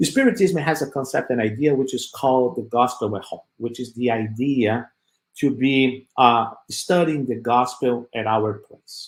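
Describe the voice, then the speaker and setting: A man at a very slow pace, medium-pitched, with a non-native accent. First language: not English. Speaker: spiritist speaker. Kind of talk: talk with slides. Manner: halting.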